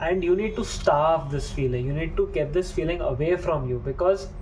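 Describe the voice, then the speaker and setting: Over noticeable background noise, a man speaks in a calm tone at a fairly quick pace. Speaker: self-help video creator. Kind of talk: motivational talk.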